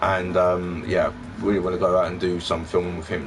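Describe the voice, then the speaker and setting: Noticeable background noise surrounds a man whose voice is very deep and low. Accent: London. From London (Peckham). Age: 30s. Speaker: retro gaming YouTuber. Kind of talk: casual live stream chat. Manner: rambling with many fillers.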